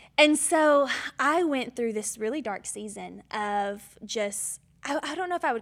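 On a very clean recording with a silent background, a woman with a slight Southern US accent speaks at a fairly slow pace with lively intonation. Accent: slight Southern twang. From Georgia, US South. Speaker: church assistant. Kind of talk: testimony. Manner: animated.

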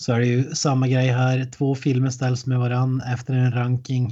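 A man's somewhat breathy voice of medium pitch and dark, mellow tone, at a moderate pace. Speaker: podcast co-host. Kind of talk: casual chat. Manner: animated.

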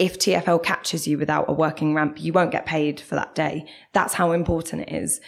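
In a South London accent, a woman talks at a fairly quick pace with a very deep, low pitch. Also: fairly even intonation. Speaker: bus campaigner. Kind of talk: interview.

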